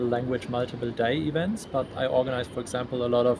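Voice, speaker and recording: This man has a German accent and a medium pitch. His intonation stays fairly even over noticeable background noise. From Germany. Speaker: event organizer. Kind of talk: interview. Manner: halting.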